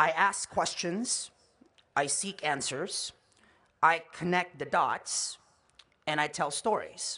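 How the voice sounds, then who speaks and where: A man speaks very slowly with a Californian accent, leaving long, frequent pauses. His pitch is high with ordinary variation, and his tone is bright and sharp. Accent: American (California). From Philippines, raised in California from childhood. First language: Tagalog. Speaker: commencement speaker, journalist and filmmaker. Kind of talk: commencement address. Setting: stage with audience.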